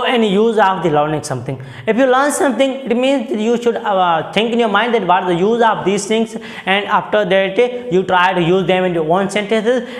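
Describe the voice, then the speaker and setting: High-pitched male speech at a moderate pace, ordinary pitch variation, audible room echo and noticeable background noise. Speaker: English teacher. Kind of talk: lecture. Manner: hesitant, many fillers.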